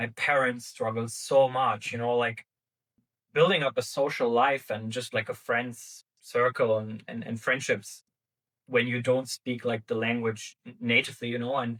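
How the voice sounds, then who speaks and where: With an Arabic accent, a man speaks at a moderate pace and medium pitch. His intonation is monotone and flat. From Germany, Arabic-speaking refugee family. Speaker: startup founder. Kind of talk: podcast interview. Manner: many fillers and repetitions.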